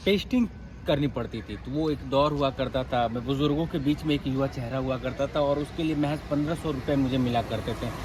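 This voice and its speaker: Speaking with a Bengali accent, a man uses a fairly high pitch, fairly even intonation and a somewhat breathy voice. He keeps a moderate pace with hardly any pauses. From West Bengal, Kolkata. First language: Bengali (speaking Hindi). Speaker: journalist. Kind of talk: interview. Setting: office campus.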